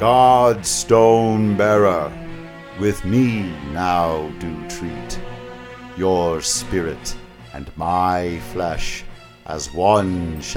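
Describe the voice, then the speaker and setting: Over clear music in the background, a man uses a put-on character voice. It is very deep and low, delivered at a very slow pace. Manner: solemn, mystical.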